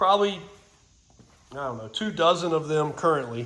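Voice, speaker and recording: There is audible room echo around a man talking at a fairly quick pace. His pitch is fairly high for a man, and his intonation is lively. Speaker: vehicle restoration hobbyist. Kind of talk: casual walkthrough video.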